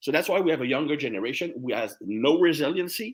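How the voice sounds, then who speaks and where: With a French accent, a man talks at a fairly quick pace, his fairly high pitch carried by lively intonation. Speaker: strength and conditioning coach. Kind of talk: interview conversation.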